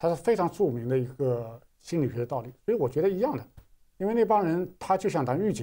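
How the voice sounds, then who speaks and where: A man with a dark, mellow tone speaks at a fairly quick pace, his pitch swinging very widely and his loudness rising and falling sharply. The background is quiet. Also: fairly high pitch for a man. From China. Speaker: artist recounting art school life; interview guest, art commentator. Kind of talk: interview. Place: studio.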